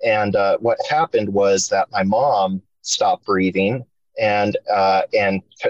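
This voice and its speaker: Speaking at a very slow pace, a man talks with an American accent. The sound is dry and close, with no echo. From Spokane, Washington, US Pacific Northwest. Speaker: podcast guest sharing paranormal experiences. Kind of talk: casual storytelling interview. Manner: halting, many fillers.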